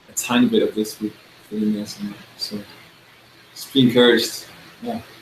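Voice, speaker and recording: Noticeable background noise runs under a man talking at a fairly quick pace. His loudness swings widely. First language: Danish. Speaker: worship songwriter. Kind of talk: encouraging feedback in a video chat.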